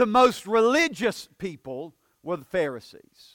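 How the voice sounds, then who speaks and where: Very slow and high-pitched, a man with a Southern US accent swings his pitch very widely on a very clean recording with a silent background. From US South. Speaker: pastor. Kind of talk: sermon. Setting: church.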